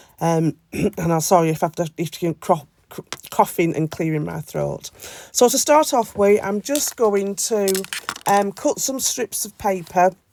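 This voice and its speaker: Dry and close with no echo, the recording carries a woman with a British accent speaking at a fairly slow pace and medium pitch, her intonation lively and her loudness swinging widely. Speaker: scrapbooking crafter. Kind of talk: craft tutorial voiceover. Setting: voiceover. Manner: hesitant, many fillers.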